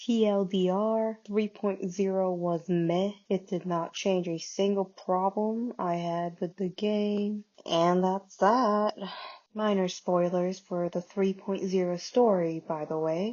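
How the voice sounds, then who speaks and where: A woman speaks quietly at a very slow pace. Her medium-pitched voice keeps fairly even intonation. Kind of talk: casual game commentary. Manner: quiet, hushed.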